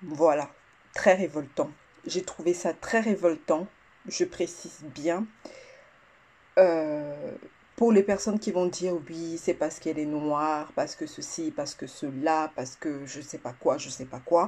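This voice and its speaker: A woman's fairly low-pitched voice at a very slow pace, with ordinary pitch variation and long, frequent pauses. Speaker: vlogger. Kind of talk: casual vlog rant. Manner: halting, stuttering.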